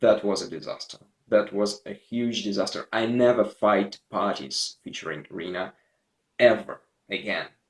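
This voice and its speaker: A man with a Russian accent speaks at a moderate pace in a fairly low pitch. His pitch varies in an ordinary way, while his loudness swings widely. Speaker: gaming video creator. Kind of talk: casual gameplay commentary. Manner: halting, repetitive.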